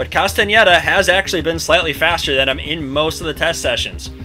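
The speaker goes at a fairly quick pace. Music can be heard in the background. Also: man. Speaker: league host narrator. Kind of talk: commentary.

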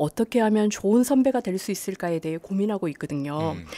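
Her tone is dark and mellow. This woman has a medium pitch and ordinary pitch variation. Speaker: civil servant, department head. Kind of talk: interview. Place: studio.

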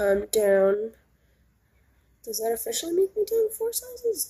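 A woman talks at a fairly slow pace with big pitch swings, a nasal, slightly mellow tone and a slightly husky edge.

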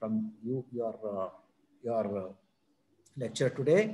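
A man's somewhat breathy voice with a dark, mellow tone and an Indian accent, at a moderate pace. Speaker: event moderator. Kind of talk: formal introduction. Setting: video call. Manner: halting. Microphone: video call.

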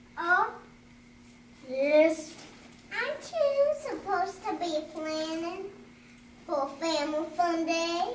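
A female-sounding, put-on character voice speaks at an extremely high pitch and a very slow pace. There are long, frequent pauses and a slight echo. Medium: role play.

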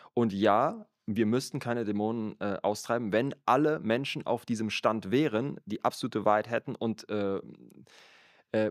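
In a very clean recording with a silent background and a dry, close sound with no echo, a man uses a plain, everyday voice at a medium pitch with ordinary pitch variation. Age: 30s. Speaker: church worker and podcast co-host. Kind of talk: casual chat about faith.

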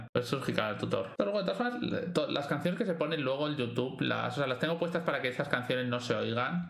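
A man speaks with ordinary pitch variation amid audible room echo. Faint music plays in the background. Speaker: gaming streamer. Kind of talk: live gameplay commentary. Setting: live stream. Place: home room.

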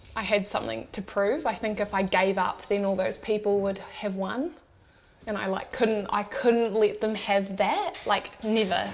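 A woman with a New Zealand accent talks at a moderate pace and medium pitch, her intonation fairly even. Music plays in the background. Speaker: electrician. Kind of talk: interview answer. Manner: casual, candid.

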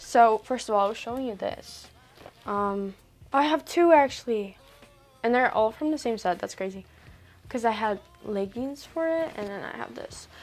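A woman speaks at a moderate pace, with long, frequent pauses and big swings in loudness. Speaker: vlogger. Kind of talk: casual vlog chat. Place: home room. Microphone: lapel.

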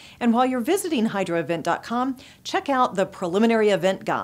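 Delivery moves at a moderate speed. Pitch rises and falls in a lively way. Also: woman. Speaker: news presenter and publisher. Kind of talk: formal news reading, scripted headlines delivered in a steady, polished broadcast style. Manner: formal, measured and even-paced, crisp and neutral like a broadcast anchor; clear, businesslike, brisk transitions between stories. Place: studio. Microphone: lapel.

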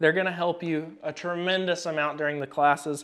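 Over music in the background, a man talks at a fairly quick pace with fairly even intonation. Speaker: firearms class instructor. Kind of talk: tutorial. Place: shop.

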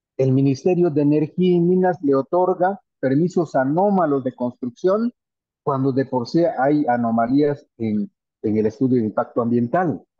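At a moderate pace and very even loudness, a man with a fairly high pitch uses lively intonation in a dry recording with no echo and a quiet background. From Guatemala, Maya Q'anjob'al territory. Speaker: panelist. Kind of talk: panel presentation. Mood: earnest, critical. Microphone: video call.

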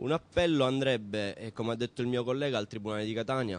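This man has an unremarkable speaking voice, delivered fairly quickly and with ordinary pitch variation. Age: 20s. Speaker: laid-off supermarket worker. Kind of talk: news interview.

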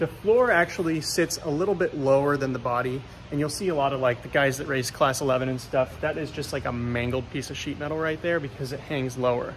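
Over light background noise, a man speaks at a fairly quick pace with hardly any pauses and ordinary pitch variation. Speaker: car builder vlogger. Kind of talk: casual vlog chat. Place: workshop. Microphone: phone near.

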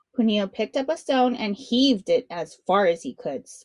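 Lively intonation in a natural reading voice

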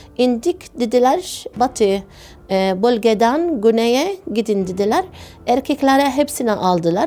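A woman with an Arabic accent, a dark, mellow tone and a fairly high pitch, with lively intonation at a fairly slow pace. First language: Arabic (speaking Turkish). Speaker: obstetrician. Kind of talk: testimony. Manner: halting.

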